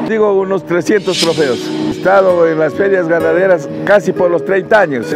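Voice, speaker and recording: A man talks at a moderate pace, and clear music can be heard in the background. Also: dry sound with no echo. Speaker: cattle farmer. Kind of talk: interview answer. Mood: proud, warm. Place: farm machine. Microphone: lapel.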